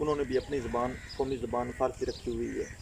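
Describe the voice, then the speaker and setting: There is noticeable background noise. Through it, a man speaks at a fairly high pitch. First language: Punjabi (speaking Hindi). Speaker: language activist. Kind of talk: interview answer. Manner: formal.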